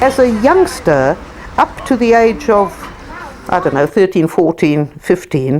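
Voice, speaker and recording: At a fairly slow pace, a woman of medium pitch makes very wide pitch swings while her loudness stays very even, with noticeable background noise behind her. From South Africa. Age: 80s+. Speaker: socialist activist. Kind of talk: documentary interview. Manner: halting.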